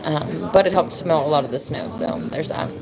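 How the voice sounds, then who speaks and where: Moderately paced speech from a woman with an American accent, audible room echo and noticeable background noise around her. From US. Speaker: live streamer. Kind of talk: casual chat. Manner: casual, with many fillers.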